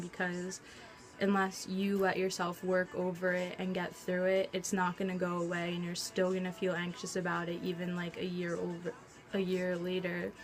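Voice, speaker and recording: A woman talks at a medium pitch and a moderate pace. Her intonation stays monotone and flat, with music playing in the background. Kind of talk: casual talk to camera.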